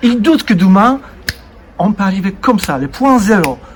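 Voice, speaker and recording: Through noticeable background noise, a man with a high pitch speaks at a moderate pace. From Poland. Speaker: interviewer. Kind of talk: casual chat.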